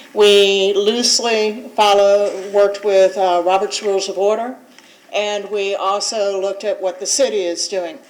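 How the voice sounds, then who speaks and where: A woman speaks at a medium pitch and a moderate pace. Noticeable background noise runs behind her. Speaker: board attorney. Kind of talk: public meeting briefing. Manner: loud.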